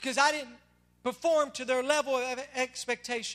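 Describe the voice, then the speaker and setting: Bright and sharp in tone, a man with a Southern US accent speaks in a raised, projected voice at an extremely high pitch. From Tennessee. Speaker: pastor. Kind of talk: sermon. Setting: church.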